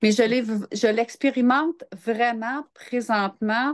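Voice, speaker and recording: Over a quiet background, a woman speaks very slowly with ordinary pitch variation. The sound is dry and close, without echo. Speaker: entrepreneur and interview guest. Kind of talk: casual interview. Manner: calm, grounded.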